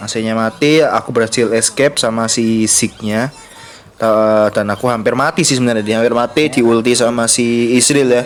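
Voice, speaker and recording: There is noticeable background noise as a man speaks at a moderate pace in a medium pitch. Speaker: gaming youtuber. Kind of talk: gameplay commentary tutorial. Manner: casual, many filler words.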